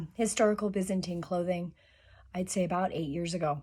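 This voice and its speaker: Fairly low-pitched and somewhat breathy, a woman's voice of dark, mellow tone. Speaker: sewing and historical costume vlogger. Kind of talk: tutorial.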